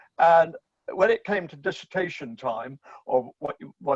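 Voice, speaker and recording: A man's high voice in an English accent, lively in intonation and fairly slow in pace, with a dry, close sound and no echo. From England, Bristol. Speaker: philosophy professor. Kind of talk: interview conversation.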